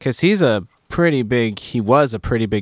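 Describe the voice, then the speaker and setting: In a normal speaking voice, a man talks at a moderate pace with ordinary pitch variation, recorded very cleanly with a silent background and a dry, close sound with no echo. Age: 30s. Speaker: podcast guest, friend of host. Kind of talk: casual chat.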